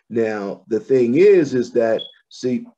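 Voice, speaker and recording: The man's voice has a dark, mellow tone. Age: 60s. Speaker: pastor. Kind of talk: casual chat.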